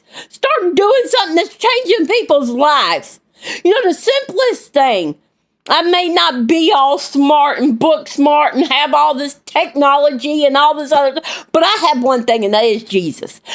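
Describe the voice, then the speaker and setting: Speaking at a fairly slow pace, a woman with a high voice sounds animated, her pitch swinging very widely while her loudness stays very even. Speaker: vlogger and lay preacher. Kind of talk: impassioned vlog rant. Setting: at home.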